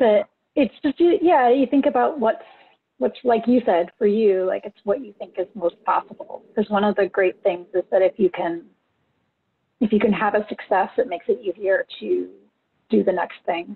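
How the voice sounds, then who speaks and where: With a plain, everyday voice, a woman talks at a moderate pace, her fairly high pitch carried by lively intonation. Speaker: session moderator. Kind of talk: Q&A moderation. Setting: video call.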